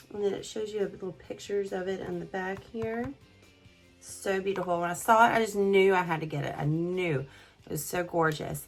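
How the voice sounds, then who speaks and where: Music plays in the background as someone speaks in a Southern US accent. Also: woman, medium pitch for a woman, ordinary pitch variation, moderate pace. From south Mississippi. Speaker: beauty YouTuber. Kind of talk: casual makeup review to camera.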